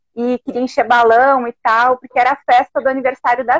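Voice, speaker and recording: In a southern Brazilian accent, a woman with a high pitch speaks at a fairly quick pace, the sound dry and close with no echo. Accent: gaúcho Brazilian Portuguese. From Alegrete, Rio Grande do Sul, Brazil. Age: 40s. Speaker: heart transplant recipient, former volunteer. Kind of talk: casual chat.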